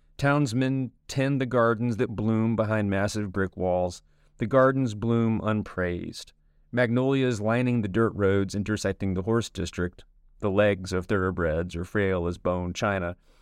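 Against a quiet background, a man with an ordinary speaking voice talks at a fairly slow pace, with fairly low pitch and ordinary pitch variation. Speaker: narrator reading an essay aloud. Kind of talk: literary audiobook reading of an essay. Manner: formal, polished, steady pace.

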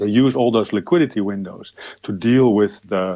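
In an unremarkable speaking voice, a man talks at a moderate pace, fairly low in pitch with ordinary pitch variation. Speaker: economist. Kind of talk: interview. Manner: repetitive, stumbling.

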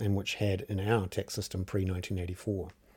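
In a very clean recording with a silent background, a man with a New Zealand accent speaks in a dark, mellow, somewhat breathy tone. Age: 50s. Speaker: journalist and podcast host. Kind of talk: solo commentary podcast. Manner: casual with many filler words.

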